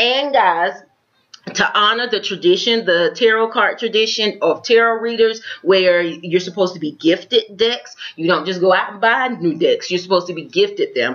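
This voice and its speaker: With an American accent, a woman talks at a moderate pace, her medium pitch showing ordinary pitch variation. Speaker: tarot reader. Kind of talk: tarot reading.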